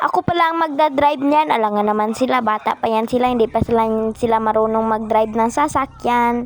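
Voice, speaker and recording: A very fast, fairly high woman's voice with very even loudness and ordinary pitch variation amid noticeable background noise. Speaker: game roleplay vlogger. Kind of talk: casual vlog narration. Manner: energetic.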